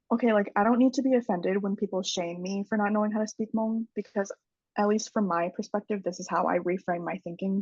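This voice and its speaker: The sound is dry and close with no echo as a woman speaks at a medium pitch. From Central Wisconsin, US. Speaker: podcast guest, mental health advocate. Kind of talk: casual interview chat.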